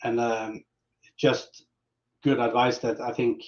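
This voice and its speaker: A man speaks very slowly with a Norwegian accent. His pitch is medium and his intonation stays monotone and flat. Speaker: metal band musician. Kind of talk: interview.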